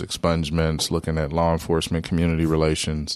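A man's very fast, very deep, low voice in a Midwestern American accent, with monotone, flat intonation. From Wichita, Kansas. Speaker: city council member. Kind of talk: casual interview. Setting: studio.

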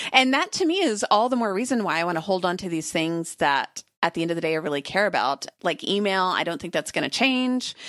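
An unremarkable speaking voice at a fairly quick pace, with lively intonation, hardly any pauses and a dry, close sound with no echo. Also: woman, medium pitch for a woman. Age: 40s. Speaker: writer and podcaster. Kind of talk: casual interview chat.

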